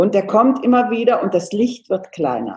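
A woman speaks at a moderate pace, her voice somewhat breathy. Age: 70s. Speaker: homeopath. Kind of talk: interview.

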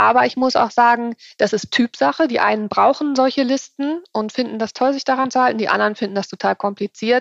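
A woman speaks in a plain, everyday voice at a moderate pace with ordinary pitch variation, in a dry, close sound with no echo. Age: 40s. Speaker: nutrition consultant and author. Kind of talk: interview.

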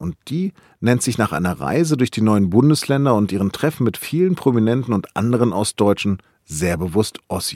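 The sound is dry and close with no echo. A man of medium pitch speaks at a fairly quick pace with very wide pitch swings. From northern Germany, Hannover. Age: 50s. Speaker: news podcast host. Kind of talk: scripted narration.

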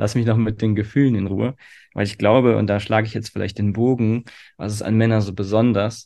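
A man with a fairly low pitch talks at a fairly quick pace, his dark, mellow tone held in a monotone, flat intonation. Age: 30s. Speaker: nonviolent communication trainer. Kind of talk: interview. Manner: hesitant, many filler sounds.

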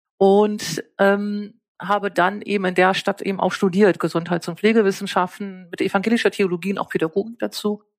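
A woman at medium pitch and moderate pace, monotone and flat, with hardly any pauses, in a dry, close sound with no echo and a very clean recording with a silent background. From northern Germany (East Frisia). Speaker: nursing science professor. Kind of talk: interview.

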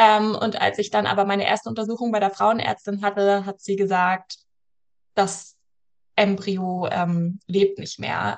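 A woman talks at a fairly slow pace in a medium pitch. It is a plain, everyday voice. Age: 30s. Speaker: cycle coach and yoga teacher. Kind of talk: podcast interview.

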